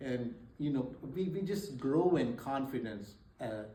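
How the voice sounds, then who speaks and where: A man's medium-pitched voice at a moderate pace, with lively intonation, audible room echo and noticeable background noise. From India. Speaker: author and math teacher. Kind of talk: speech at a book signing. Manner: halting, many fillers.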